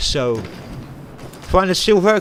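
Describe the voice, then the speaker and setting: Noticeable background noise sits under speech that swings very widely in pitch. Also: man. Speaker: gaming streamer. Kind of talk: casual gameplay livestream commentary. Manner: hesitant, many fillers.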